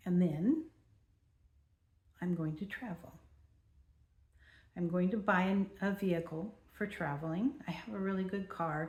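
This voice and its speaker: A woman with an American accent talks at a fairly slow pace and medium pitch, somewhat breathy, with ordinary pitch variation. She leaves long, frequent pauses. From California. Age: 70s. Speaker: vlogger. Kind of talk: personal vlog monologue.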